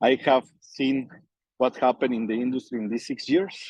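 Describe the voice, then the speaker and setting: Recorded with a dry, close sound and no echo, a man speaks at medium pitch with a non-native accent. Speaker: network marketing leader. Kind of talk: testimony on group call.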